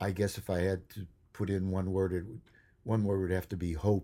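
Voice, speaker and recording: A man with an American accent and a dark, mellow tone, at a moderate pace, on a very clean recording with a silent background. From US Midwest, Chicago. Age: 80s+. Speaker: TV director and producer. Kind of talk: casual interview, storytelling. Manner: halting, many fillers.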